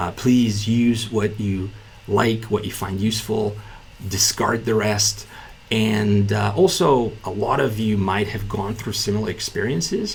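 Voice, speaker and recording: Over noticeable background noise, a man speaks with a fairly low pitch and monotone, flat intonation. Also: fairly slow pace. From Bulgaria. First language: Bulgarian. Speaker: entrepreneur and business YouTuber. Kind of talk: casual talking-head video explainer. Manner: many fillers and self-repeats.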